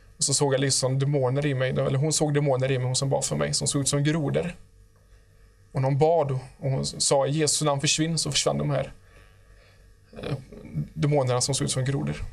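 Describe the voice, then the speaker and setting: A fairly high-pitched, somewhat breathy man's voice, monotone and flat, at a fairly quick pace broken by long, frequent pauses. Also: quiet background. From Sweden. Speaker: guest giving testimony; guest. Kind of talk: testimony. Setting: studio. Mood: calm, earnest. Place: studio. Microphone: lapel.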